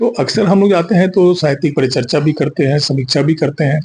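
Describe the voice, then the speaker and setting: A man speaks with a dark, mellow tone and lively intonation. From Chhattisgarh, India. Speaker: poet and writer. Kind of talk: interview.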